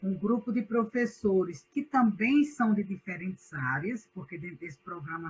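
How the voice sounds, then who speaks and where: Somewhat breathy, a woman with a northeastern Brazilian accent speaks at a fairly slow pace with very wide pitch swings. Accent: Northeastern Brazilian, unchanged. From Northeast Brazil. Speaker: university professor. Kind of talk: online class lecture.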